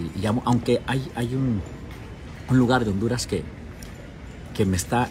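Faint music plays in the background. A man talks at a moderate pace with lively intonation. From Mexico, Durango. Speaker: TV journalist. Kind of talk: casual livestream chat. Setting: airport. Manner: hesitant, many fillers. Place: station. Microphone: earbuds.

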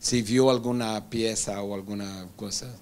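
Here a man talks with a Brazilian accent. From Brazil, Rio de Janeiro. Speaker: moderator, interviewer. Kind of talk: moderated panel conversation. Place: classroom. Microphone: handheld.

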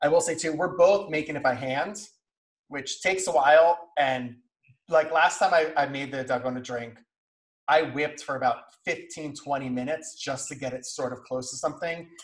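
A man with an American accent and a fairly high, somewhat breathy voice, at a moderate pace with ordinary pitch variation, over a quiet background. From New York (Brooklyn, Westchester). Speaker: food content creator. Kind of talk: casual chat. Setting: Instagram live stream. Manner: animated, talks with hands. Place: kitchen. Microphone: video call.

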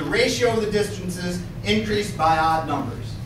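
A man speaks fairly slowly amid audible room echo and noticeable background noise. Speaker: lecturer. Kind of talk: lecture. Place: classroom. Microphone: camera far.

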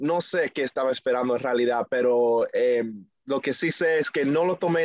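In an American accent, a man speaks at a fairly high pitch and a moderate pace. The sound is dry with no echo, and the background is quiet. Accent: marked American English accent in Spanish. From New York, US, Dominican family. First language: English (speaking Spanish). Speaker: reggaeton singer; guest. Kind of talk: interview; interview answer. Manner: halting, many fillers. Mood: friendly, smiling. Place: home room. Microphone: video call.

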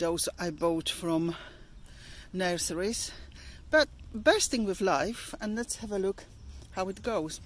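A woman speaks at a fairly slow pace with ordinary pitch variation, the sound dry and free of echo. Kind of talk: casual vlog tour. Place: garden. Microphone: phone near.

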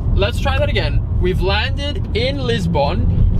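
A man's voice comes through dry and echo-free, with loud background noise behind it. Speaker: vlogger driving. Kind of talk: casual vlog chat. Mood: cheerful and excited. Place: car. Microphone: phone near.

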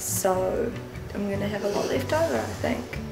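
A woman speaks over clear music in the background. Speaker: vlogger. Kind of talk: casual vlog chat. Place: kitchen. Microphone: phone near.

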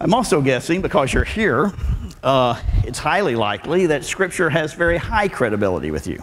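A man in a Southern US accent talks at a fairly quick pace with vocal fry and very wide pitch swings over light background noise. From Arkansas, US South. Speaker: preacher and Bible professor. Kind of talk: sermon. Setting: church with audience. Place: church. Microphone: lapel.

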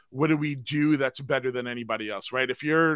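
This voice has an American accent and a bright, sharp tone at a fairly quick pace. Intonation stays fairly even, and the sound is dry with no echo over a quiet background. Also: man. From US East Coast. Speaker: audio storytelling consultant; podcaster. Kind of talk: live stream interview. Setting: video call. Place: home room. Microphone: studio mic.

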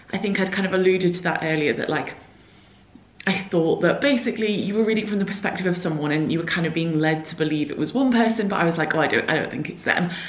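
A woman speaking very fast with ordinary pitch variation, audible room echo around her. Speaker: book vlogger. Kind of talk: vlog, casual monologue to camera. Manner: chatty, informal. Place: home room. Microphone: phone near.

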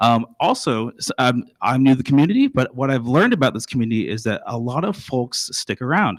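A man with a slight Texan accent and a medium pitch talks at a fairly quick pace with ordinary pitch variation and hardly any pauses, the sound dry and close with no echo. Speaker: school district administrator. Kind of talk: presentation to school board. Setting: board meeting at podium. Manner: halting, frequent fillers and restarts.

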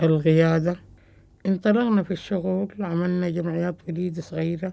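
A woman's dark, mellow voice, fairly low in pitch, at a fairly slow pace. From Sudan. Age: 50s. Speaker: tea seller and union leader; tea seller. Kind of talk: testimony.

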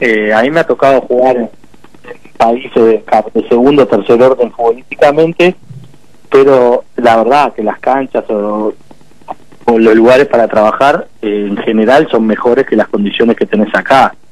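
In a dry recording with no echo and a quiet background, a man talks at a moderate pace, his medium pitch showing ordinary variation. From Uruguay. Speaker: football coaching staff, former player. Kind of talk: radio interview. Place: studio. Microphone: studio mic.

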